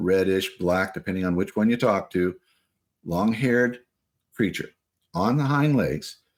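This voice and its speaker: A man talks in a fairly low register. The recording is very clean, and the background is silent. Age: 60s. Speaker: interviewee recounting Bigfoot encounters. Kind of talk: testimony. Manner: halting with fillers.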